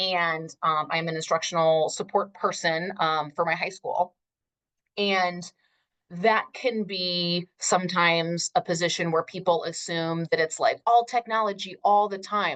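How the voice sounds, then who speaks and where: With an ordinary speaking voice, a woman talks at a fairly low pitch and a fairly slow pace, her intonation fairly even, in a dry, close sound with no echo. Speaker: Spanish teacher and instructional technology specialist. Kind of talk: conference workshop presentation.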